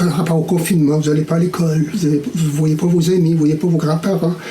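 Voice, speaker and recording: Over noticeable background noise and audible room echo, a man talks at a very fast pace with a high pitch. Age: 60s. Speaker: caricaturist. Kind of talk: tutorial. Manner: hesitant with fillers.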